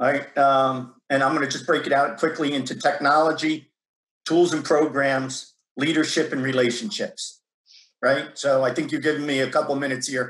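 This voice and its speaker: His intonation is fairly even. The man's pitch is fairly high. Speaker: tech company sales executive. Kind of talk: panel discussion. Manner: fast.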